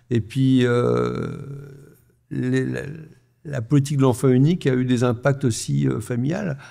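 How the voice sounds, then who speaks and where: Long, frequent pauses break up this man's speech. He talks at a fairly slow pace. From France. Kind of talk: live panel discussion. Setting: stage with live audience.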